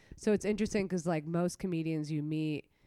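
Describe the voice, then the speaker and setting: With ordinary pitch variation, a woman talks at a fairly low pitch in a normal speaking voice. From New York City (Queens), Latin immigrant family. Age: 20s. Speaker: comedian. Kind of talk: casual chat. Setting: in her apartment.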